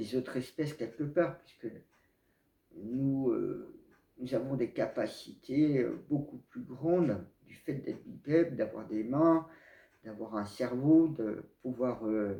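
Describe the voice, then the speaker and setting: A man with a dark, mellow tone and medium pitch speaks very slowly, with ordinary pitch variation. Long, frequent pauses and big swings in loudness mark his delivery. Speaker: spiritual video blogger. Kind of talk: casual monologue to camera. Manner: hesitant, many fillers.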